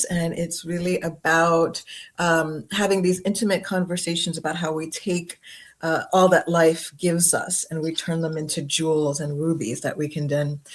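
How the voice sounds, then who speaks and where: Here a woman has a fairly low pitch and an ordinary speaking voice. Her intonation is fairly even. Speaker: podcast host. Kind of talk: interview host, casual conversation.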